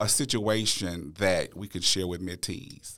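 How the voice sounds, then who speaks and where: On a very clean recording with a silent background, a man with a fairly low pitch and ordinary pitch variation speaks at a fairly slow pace. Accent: Louisiana. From Louisiana (Natchitoches). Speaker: podcast host, educator. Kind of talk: interview.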